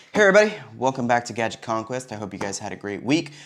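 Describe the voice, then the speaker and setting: Raspy and hoarse, a man puts on a character voice at medium pitch. He talks at a very fast pace. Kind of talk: casual podcast host.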